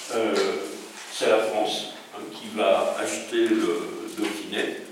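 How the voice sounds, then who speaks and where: Over noticeable background noise, the speaker talks at a very slow pace. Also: man. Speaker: historian. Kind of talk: history lecture. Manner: conversational storytelling, hesitant.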